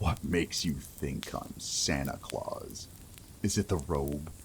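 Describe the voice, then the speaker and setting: A man's booming, put-on character voice, very deep and low in pitch, with ordinary pitch variation at a fairly slow pace. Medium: read story. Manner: menacing, judgmental.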